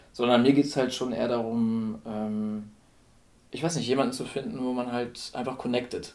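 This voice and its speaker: A man's medium-pitched voice with fairly even intonation, a moderate pace, and audible room echo. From northern Germany (Lower Saxony). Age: 30s. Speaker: blind date participant, designer and photographer. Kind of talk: casual chat. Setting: at the host's home.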